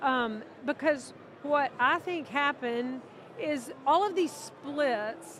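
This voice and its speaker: A woman's high-pitched voice at a very slow pace. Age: 60s. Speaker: minister. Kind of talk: casual interview conversation. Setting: convention interview.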